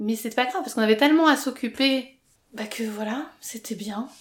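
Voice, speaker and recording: Here a woman talks in a fairly high pitch. Her pitch variation is ordinary. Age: 30s. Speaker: interviewee sharing coming-out story. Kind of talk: personal testimony interview. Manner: hesitant, many fillers.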